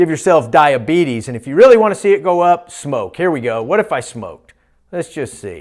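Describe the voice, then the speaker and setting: Very wide pitch swings mark a man's fairly high voice. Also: very clean recording, silent background. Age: 50s. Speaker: physician giving health talks. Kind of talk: lecture. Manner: animated.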